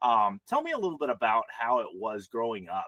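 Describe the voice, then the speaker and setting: Recorded dry and close with no echo, a man with a Texan accent talks at a fairly quick pace. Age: 40s. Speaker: podcast host. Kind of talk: interview conversation.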